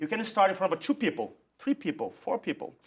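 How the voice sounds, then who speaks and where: Speaking at a fairly quick pace, a man has a Portuguese accent. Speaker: public speaking coach. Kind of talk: interview.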